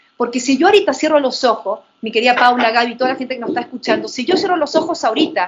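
Pitch variation is ordinary here. The speaker is a woman with a high pitch. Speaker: wellbeing and neuroscience specialist. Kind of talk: panel conversation.

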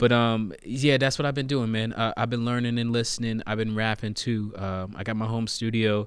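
A man with an American accent and an ordinary speaking voice, medium in pitch, at a moderate pace with hardly any pauses and fairly even intonation. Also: quiet background. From US Virgin Islands (Saint Thomas), raised US South. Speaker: rapper, singer and poet. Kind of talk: casual podcast interview.

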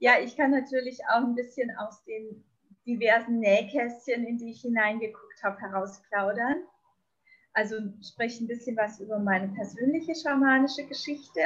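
Her loudness swings widely as a woman talks in a high pitch. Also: ordinary pitch variation, moderate pace. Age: 50s. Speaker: shaman. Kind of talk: interview. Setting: video call from a balcony.

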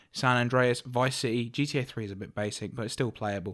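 A man speaks at a fairly quick pace and medium pitch, with a British accent, on a very clean recording with a silent background. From UK. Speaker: podcast co-host. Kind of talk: casual chat.

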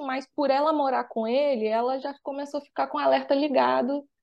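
A woman's voice with ordinary pitch variation. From Rio de Janeiro, Brazil. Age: 20s. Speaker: financial mentor and author. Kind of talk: podcast interview.

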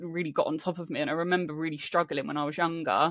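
A woman with a southern English accent talks at a fairly low pitch and fairly quick pace with fairly even intonation. The recording is very clean, with a silent background. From England, Hampshire (Aldershot), partly raised in Spain. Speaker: self-worth coach. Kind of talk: casual chat.

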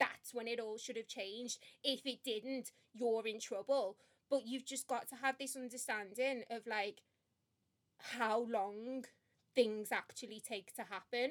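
A woman speaks in a Liverpool accent at a fairly slow pace. Her pitch is fairly high and her intonation fairly even. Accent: Scouse (Liverpool). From Liverpool, England. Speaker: podcast co-host, marketing professional. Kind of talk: casual chat.

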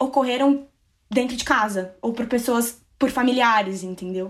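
A woman speaks with a high pitch at a moderate pace. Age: 20s. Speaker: survivor sharing her story. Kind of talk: testimony. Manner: calm.

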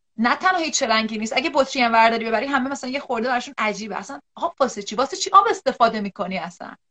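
A woman with a high pitch speaks at a very fast pace. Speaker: psychological counselor. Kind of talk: live-stream interview. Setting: online live video stream.

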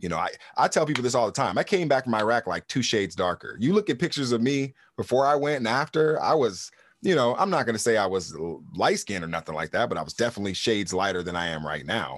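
A man with an American accent at medium pitch, very fast pace, very wide pitch swings and vocal fry, over a quiet background. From California. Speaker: podcast co-host, military veteran. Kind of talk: casual chat.

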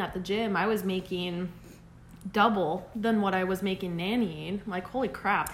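A woman's plain, everyday voice keeps a moderate pace, with ordinary pitch variation. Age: 20s. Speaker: podcast co-host. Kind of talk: casual chat.

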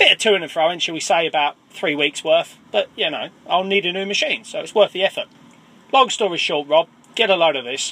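Over noticeable background noise, a man with an English accent talks at a fairly quick pace and a high pitch, with ordinary pitch variation. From England, Cambridgeshire. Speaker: listener caller. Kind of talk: voicemail anecdote.

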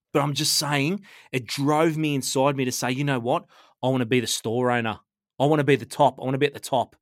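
Speaking at a very fast pace in an animated tone, a man with a fairly high voice comes through on a very clean recording with a silent background. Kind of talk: casual chat.

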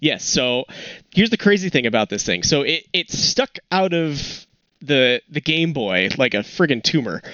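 This man speaks at a moderate pace in a fairly high pitch, with very wide pitch swings and vocal fry. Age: 20s. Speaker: photography podcast co-host. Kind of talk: casual chat. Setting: remote call from home.

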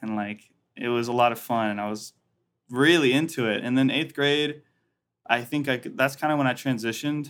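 A plain, everyday voice moves at a fairly quick pace, its intonation fairly even. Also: man. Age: 20s. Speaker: musician. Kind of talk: casual chat. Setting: video call.

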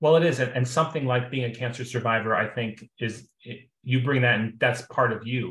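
At a fairly quick pace, a man with a normal speaking voice and fairly even intonation is heard on a very clean recording with a silent background. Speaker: friend of host. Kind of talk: casual chat.

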